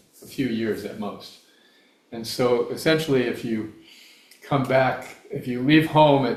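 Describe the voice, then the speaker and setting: In a space with audible room echo, a man speaks at a fairly slow pace with lively intonation. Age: 70s. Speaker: guest speaker on spiritual philosophy. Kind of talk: Q&A answer in a talk. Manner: halting, with fillers and restarts.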